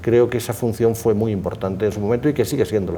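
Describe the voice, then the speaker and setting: The speaker has a Spanish accent and ordinary pitch variation. The pace is fairly quick. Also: man. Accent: Spanish (Spain). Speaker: law professor. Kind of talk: formal conversation. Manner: formal.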